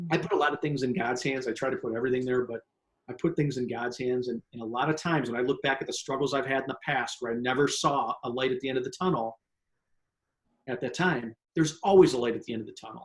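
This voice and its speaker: At a very fast pace, a man talks with a medium pitch and lively intonation. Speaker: sales trainer and author. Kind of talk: interview.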